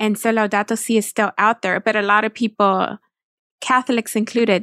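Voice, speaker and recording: In a plain, everyday voice with an American accent, a woman with a fairly high pitch talks at a fairly quick pace and very even loudness, the recording very clean with a silent background and a dry, close sound with no echo. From Texas. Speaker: nonprofit communications director. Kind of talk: interview.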